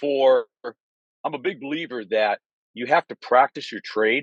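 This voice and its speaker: With a dry, close sound and no echo, a man talks at a fairly quick pace, at medium pitch with ordinary pitch variation. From Michigan, US Midwest. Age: 60s. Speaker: sales rep. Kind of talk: casual chat. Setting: video call from his car.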